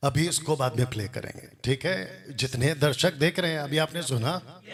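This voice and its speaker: Somewhat breathy and with ordinary pitch variation, the voice comes in a Telangana accent. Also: man, fairly high pitch for a man. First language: Telugu (speaking Hindi). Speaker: Bible teacher. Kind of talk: religious rebuttal commentary. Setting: classroom with Bible college students.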